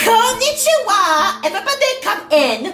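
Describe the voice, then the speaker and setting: Over clear background music, a woman puts on a squeaky character voice at an extremely high pitch. Her pitch swings very widely, and her pace is moderate. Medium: read story.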